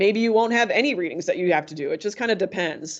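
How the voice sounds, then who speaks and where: The background is quiet. The speech comes at a very fast pace. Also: woman. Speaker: tutoring center staff presenter; presenter. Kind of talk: online workshop presentation. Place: home room. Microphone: video call.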